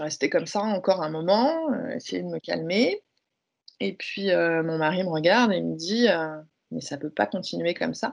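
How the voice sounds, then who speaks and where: A woman talks at a moderate pace. Her pauses are long and frequent. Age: 30s. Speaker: speaker and workplace wellbeing consultant. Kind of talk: testimony.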